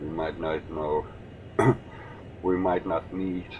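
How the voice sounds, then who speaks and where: Behind noticeable background noise, a man with a Danish accent speaks at a very slow pace, his very deep, low voice held in fairly even intonation. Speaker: gaming youtuber. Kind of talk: gameplay commentary. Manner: casual, with hesitations.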